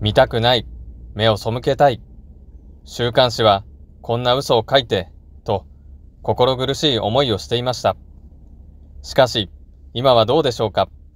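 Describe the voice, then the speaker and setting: A man at medium pitch speaks at a moderate pace with vocal fry, ordinary pitch variation, and long, frequent pauses. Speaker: religious channel host. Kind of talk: memorial address. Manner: formal.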